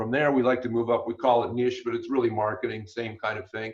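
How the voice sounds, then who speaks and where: A man talks very fast in a medium pitch, his voice somewhat breathy. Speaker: business coach. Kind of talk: webinar presentation.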